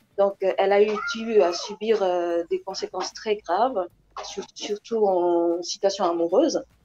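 Noticeable background noise runs under a woman's voice. She speaks fairly slowly with fairly even intonation. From DR Congo. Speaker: actress. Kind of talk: interview. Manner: halting. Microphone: earbuds.

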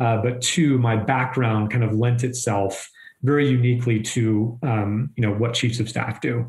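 A man speaks in a monotone with flat intonation at a moderate pace. His voice is somewhat breathy, with very even loudness. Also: medium pitch for a man. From southern Maine, New England. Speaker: chief of staff. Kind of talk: interview.

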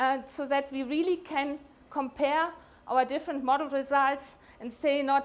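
A woman speaks at a moderate pace in a high voice, her intonation fairly even.

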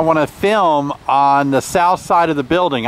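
A man's high-pitched voice with ordinary pitch variation, at a fairly slow pace, dry with no echo, over noticeable background noise. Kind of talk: casual vlog chat. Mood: relaxed, slightly rueful.

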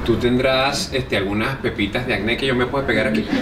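Noticeable background noise behind a man talking. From Venezuela. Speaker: comedian and radio host. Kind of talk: interview answer. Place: bar. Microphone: phone near.

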